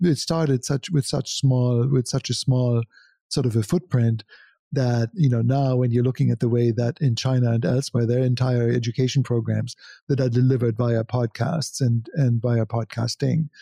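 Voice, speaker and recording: Somewhat breathy and dark, mellow in tone, a man with a German accent keeps very even loudness and fairly even intonation, heard dry and close with no echo over a quiet background. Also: medium pitch for a man, moderate pace. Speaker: digital marketing agency founder and photographer. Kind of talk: interview conversation.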